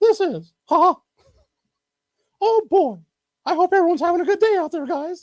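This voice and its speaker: A put-on character voice, strained and guttural, extremely high in pitch, at a moderate pace with long, frequent pauses. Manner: put-on, jovial greeting.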